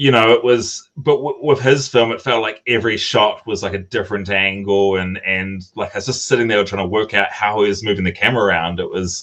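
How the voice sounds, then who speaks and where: A man talks at a fairly quick pace with hardly any pauses. His pitch is fairly low, with ordinary pitch variation. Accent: New Zealand. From New Zealand, small mining town. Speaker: film director. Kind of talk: interview. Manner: halting, many fillers and repetitions.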